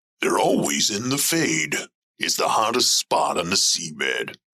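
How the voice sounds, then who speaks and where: In a put-on character voice, a man sounds gruff at a moderate pace with very even loudness. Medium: audio drama. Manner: streetwise, defensive, ungrammatical.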